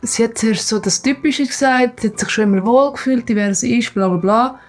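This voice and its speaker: A woman speaks in a Swiss accent at a moderate pace, her pitch fairly high with ordinary variation. Noticeable background noise runs behind her. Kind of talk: casual vlog talk to camera. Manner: calm, relaxed.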